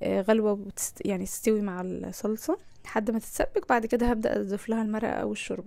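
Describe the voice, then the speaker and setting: A woman's fairly high voice with a dark, mellow tone, at a fairly quick pace. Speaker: lifestyle vlogger. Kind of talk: cooking vlog narration. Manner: casual, conversational.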